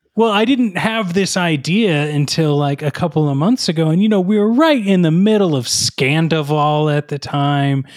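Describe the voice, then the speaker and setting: An ordinary speaking voice from a man, fairly high in pitch, with lively intonation, a moderate pace and hardly any pauses, on a very clean recording with a silent background. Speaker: podcast host. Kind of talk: comedic interview with a character guest.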